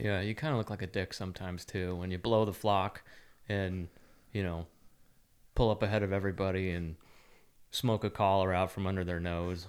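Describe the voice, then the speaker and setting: A man with an American accent speaks in a very deep, low voice at a fairly quick pace, with long, frequent pauses. His intonation stays fairly even, and the recording is very clean with a silent background. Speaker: podcast co-host, bird hunter. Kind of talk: casual chat.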